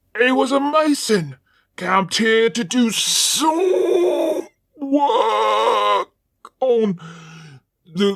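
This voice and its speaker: A woman's put-on character voice, high-pitched, raspy and growling, at a very slow pace with long, frequent pauses. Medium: read story.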